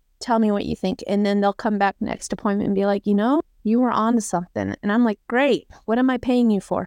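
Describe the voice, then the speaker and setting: Against a quiet background, a woman with an unremarkable speaking voice talks at a fairly quick pace with hardly any pauses, her fairly high pitch held to fairly even intonation and very even loudness, in a dry, close sound with no echo. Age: 40s. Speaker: military veteran. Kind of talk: personal testimony in casual chat.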